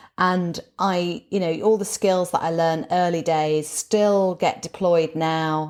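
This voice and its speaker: In a northern English accent, the speaker talks at a moderate pace with monotone, flat intonation, captured on a very clean recording against a silent background. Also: woman. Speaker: motivational speaker and former broadcaster. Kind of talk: casual interview chat.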